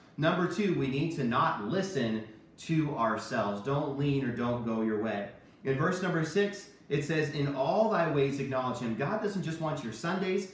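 A man at a moderate pace with audible room echo. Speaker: children's church teacher. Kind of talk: Bible lesson talk. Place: kitchen. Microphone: camera far.

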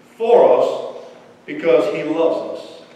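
A man's slightly mellow tone in strong room echo

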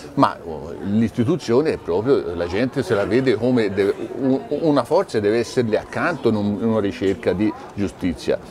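Here a man talks at a moderate pace with lively intonation. There is noticeable background noise. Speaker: shareholder association representative; guest. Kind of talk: TV interview. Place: cafe. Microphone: lapel.

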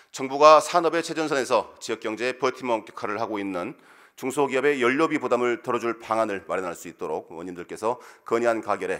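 A man with a medium-pitched voice talks at a very fast pace, his loudness swinging widely over a quiet background. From South Korea, South Jeolla (Muan). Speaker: provincial council member. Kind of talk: formal speech presenting a motion. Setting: council plenary session. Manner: formal. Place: hall. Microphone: podium.

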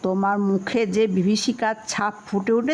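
Someone reads aloud plainly. Their intonation is fairly even.

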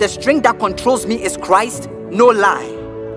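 A man speaks at a fairly slow pace with music in the background. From Ghana. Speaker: spoken word poet. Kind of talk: spoken word poetry over a beat.

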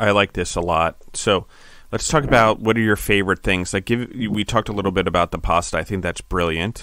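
Recorded very cleanly against a silent background, a man with an American accent talks at a fairly quick pace in a fairly low pitch, bright and sharp in tone, with ordinary pitch variation. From US East Coast. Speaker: podcast host, food entrepreneur. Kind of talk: casual interview.

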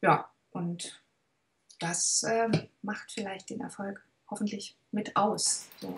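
Pausing long and often, a woman speaks at a very slow pace with fairly even intonation. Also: medium pitch for a woman. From Swabia, southern Germany. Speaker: actress. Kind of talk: interview answer. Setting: video call. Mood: warm, thoughtful. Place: home room.

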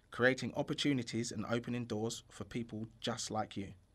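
A man talks in a normal speaking voice at a medium pitch and a moderate pace. His intonation is fairly even, and the recording is very clean with a silent background. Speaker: charity founder. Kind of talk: promotional voice-over.

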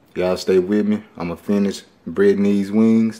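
With a Memphis accent, a man speaks at a moderate pace in a fairly low voice with a dark, mellow tone. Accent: Southern US (Memphis). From Memphis, Tennessee. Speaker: home cook, cooking show host. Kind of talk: casual cooking tutorial to camera. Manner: casual, friendly. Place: kitchen. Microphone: phone near.

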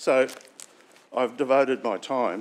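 A man with an Australian accent. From Sunshine Coast hinterland, Queensland, Australia; Queensland, Australia. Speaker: local councillor. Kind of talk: formal speech. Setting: council chamber. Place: meeting room.

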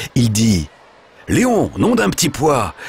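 Pitched in a medium range, a man's voice swings very widely up and down. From France. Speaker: voice actor. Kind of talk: children's story reading.

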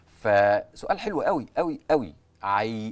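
The man's delivery moves at a fairly slow pace. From Egypt. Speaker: ENT doctor; guest. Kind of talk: TV interview. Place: studio. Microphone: lapel.

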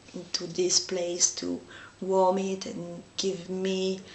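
A woman speaks slowly at fairly low pitch, with little pitch movement. There is audible room echo.

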